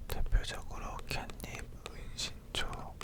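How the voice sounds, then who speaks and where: A whispering voice is heard. Noticeable background noise sits behind it. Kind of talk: ASMR whispered chat about cats. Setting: close stereo microphone with left-right panning.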